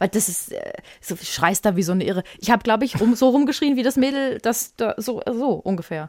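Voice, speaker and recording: A woman with an unremarkable speaking voice talks at a fairly quick pace. Her pitch is fairly high and her intonation lively. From Germany, Würzburg (Lower Franconia). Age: 30s. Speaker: podcast co-host. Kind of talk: casual chat.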